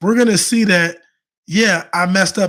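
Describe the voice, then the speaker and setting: A man with a high-pitched voice is heard on a very clean recording with a silent background. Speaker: faith-based men's coach. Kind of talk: motivational livestream talk. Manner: fast; repetitive, halting restarts.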